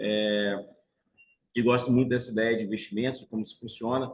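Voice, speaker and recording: At a fairly quick pace, a man with a medium pitch speaks in a monotone, flat intonation. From Brazil, Bahia (Salvador). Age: 40s. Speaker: financial market professional. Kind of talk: interview, telling life story.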